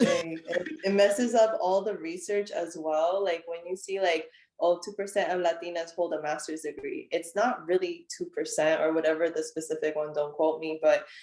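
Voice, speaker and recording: A woman with an unremarkable speaking voice talks at a moderate pace with fairly even intonation and hardly any pauses. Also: fairly low pitch for a woman. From United States. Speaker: counseling student and personal trainer. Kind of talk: casual conversation.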